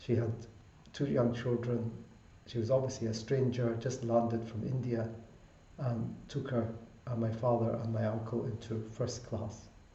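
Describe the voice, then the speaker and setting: A man at medium pitch with a Glasgow accent, monotone and flat, at a moderate pace with long, frequent pauses, plus audible room echo and noticeable background noise. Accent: Scottish (Glasgow) English. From Scotland (Glasgow), Punjabi Sikh family. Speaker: doctor, public health. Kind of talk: interview. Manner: formal.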